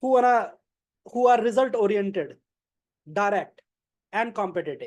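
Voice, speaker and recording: The speaker talks at a moderate pace with an Indian accent. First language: not English. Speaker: club member giving a speech. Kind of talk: prepared speech.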